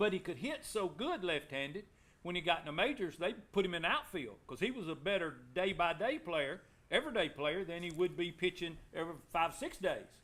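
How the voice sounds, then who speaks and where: A man with an Alabama accent, high in pitch, at a fairly quick pace with lively intonation. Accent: US Southern (Alabama). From Alabama, Anniston. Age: 60s. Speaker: former local baseball player. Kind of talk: casual chat.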